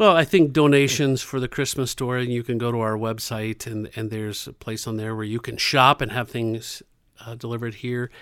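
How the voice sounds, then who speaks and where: An unremarkable speaking voice comes from a man at medium pitch, with fairly even intonation and a moderate pace. The recording is very clean, and the background is silent. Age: 50s. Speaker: community center director. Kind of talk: interview.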